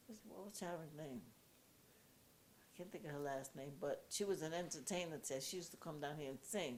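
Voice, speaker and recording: Her voice is very deep and low for a woman, animated in tone with ordinary pitch variation, moving at a fairly quick pace broken by long, frequent pauses. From Puerto Rico. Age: 80s+. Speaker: activist. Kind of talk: casual chat. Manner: loud.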